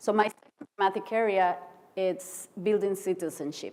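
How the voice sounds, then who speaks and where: At a moderate pace, a woman speaks at medium pitch in a Costa Rican accent. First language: Spanish. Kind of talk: conference keynote speech. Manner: halting.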